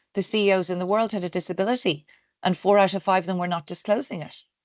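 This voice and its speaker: Against a quiet background, a woman talks with an Irish accent. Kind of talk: interview.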